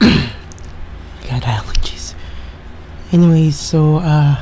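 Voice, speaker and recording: At a very slow pace, a man speaks over light background noise. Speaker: video reactor. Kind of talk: casual vlog chat. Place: home room. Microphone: studio mic.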